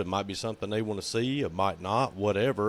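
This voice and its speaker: With a Southern US accent, a man speaks at a fairly low pitch and a fairly quick pace. His pitch varies in an ordinary way. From US South. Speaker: podcast co-host. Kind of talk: casual chat.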